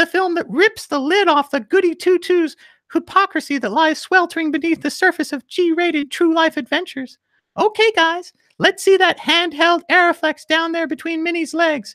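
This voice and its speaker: A man does a put-on character voice, squeaky and extremely high, with an upbeat tone. He speaks at a moderate pace on a very clean recording with a silent background. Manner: cartoonish, upbeat.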